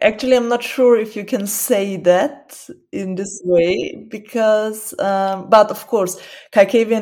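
A woman in a Burgenland accent speaks at a fairly slow pace in a dark, mellow tone with ordinary pitch variation. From Burgenland, Austria. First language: Burgenland Croatian. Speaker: student and newspaper editor. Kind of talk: casual interview.

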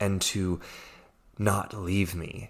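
This is a man with an American accent. His pitch is fairly low. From US, Virginia. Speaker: life coach. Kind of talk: podcast monologue, personal story.

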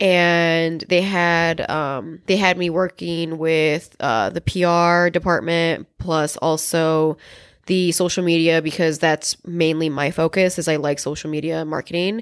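A woman with an unremarkable speaking voice talks at a fairly low pitch with fairly even intonation and hardly any pauses, on a very clean recording with a silent background. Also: fairly slow pace. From Chicago. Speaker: podcast co-host. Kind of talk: casual chat.

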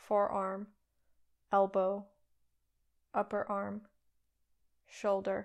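Over a quiet background, a woman with a soothing tone speaks at a medium pitch and a very slow pace, her intonation monotone and flat, with long, frequent pauses. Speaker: yoga nidra teacher. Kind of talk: guided meditation. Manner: slow, soft, soothing, with long pauses.

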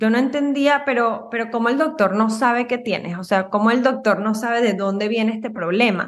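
A woman's fairly high, ordinary speaking voice with ordinary pitch variation, a fairly quick pace and hardly any pauses, on a very clean recording with a silent background. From Venezuela. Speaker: Ayurveda practitioner. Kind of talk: casual interview.

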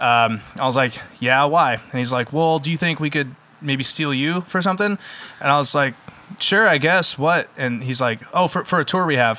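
Noticeable background noise is present. A man speaks at a moderate pace and a fairly high pitch, with ordinary pitch variation. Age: 30s. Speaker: metal band musician. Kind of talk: casual chat. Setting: in-person studio recording.

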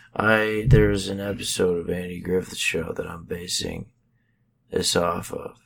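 Quiet and fairly slow, a man talks at a very deep, low pitch with fairly even intonation and big swings in loudness. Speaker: podcast co-host. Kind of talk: casual comedic chat. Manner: hushed, low tone.

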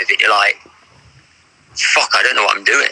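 This is a man speaking. He has an English accent. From England. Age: 30s. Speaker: film director. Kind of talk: casual chat.

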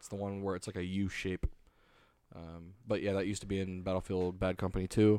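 A man with a very deep, low pitch and a dark, mellow tone talks at a fairly quick pace in a flat monotone, his loudness swinging widely, in a very clean recording with a silent background. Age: 20s. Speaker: podcast host. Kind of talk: casual chat.

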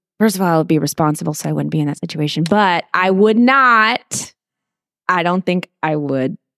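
An ordinary speaking voice from a woman, lively intonation at a moderate pace, dry and close with no echo, in a very clean recording with a silent background. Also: fairly low pitch for a woman. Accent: American. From Texas, Corpus Christi area. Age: 30s. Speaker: travel nurse. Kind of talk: casual interview chat.

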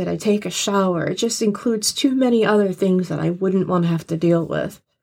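Her tone animated, a woman speaks at a medium pitch. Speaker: co-host reacting and chatting. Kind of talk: casual chat with sarcastic banter. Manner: sarcastic, animated, swears freely.

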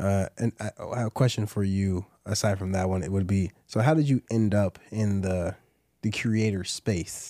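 On a very clean recording with a silent background, a man speaks at a moderate pace with a dark, mellow tone, fairly low pitch and fairly even intonation. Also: dry, close sound with no echo. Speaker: podcast host. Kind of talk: casual interview chat.

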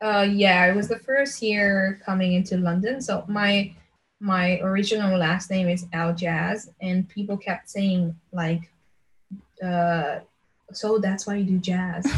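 Speaking at a fairly slow pace, a woman with a somewhat breathy voice keeps a medium pitch and fairly even intonation. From Slovenia. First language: Slovenian. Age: 20s. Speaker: pop singer. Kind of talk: interview conversation.

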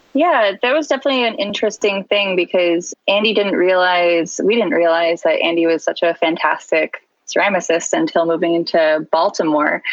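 A woman talks at a moderate pace in an ordinary speaking voice with an American accent, medium pitch and lively intonation. She barely pauses, and her loudness stays very even. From US West Coast (San Diego). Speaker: illustrator and art educator. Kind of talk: casual interview.

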